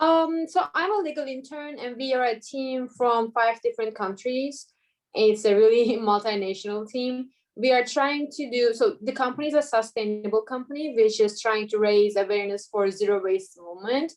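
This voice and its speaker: The speaker has a Turkish accent and talks at a moderate pace. Pitch variation is ordinary. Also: woman, high pitch for a woman. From Turkey, Istanbul. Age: 20s. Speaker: law student. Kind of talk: casual interview.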